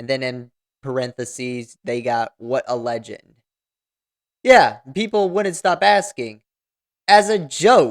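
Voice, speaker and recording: Very slow speech broken by long, frequent pauses. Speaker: commentary YouTuber. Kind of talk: casual commentary reacting to news; reading aloud an article. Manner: casual, filler-heavy with false starts.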